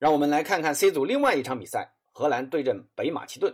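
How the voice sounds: A man's medium-pitched voice with a slightly husky edge and big pitch swings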